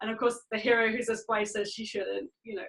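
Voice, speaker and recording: A woman with an English accent, fairly high pitch and a moderate pace. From England. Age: 40s. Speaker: author. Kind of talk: interview.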